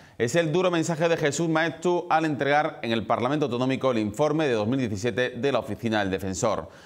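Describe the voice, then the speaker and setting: The background stays quiet. A man's speech is fairly quick, and his intonation is lively. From Andalusia, Spain. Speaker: news presenter. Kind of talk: TV news editorial. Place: studio.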